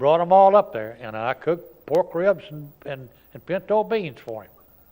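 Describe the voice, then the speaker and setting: A man's dark, mellow tone with very wide pitch swings and big swings in loudness. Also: fairly high pitch for a man, moderate pace. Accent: American. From Texas. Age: 80s+. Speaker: war veteran. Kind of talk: oral history interview. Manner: halting.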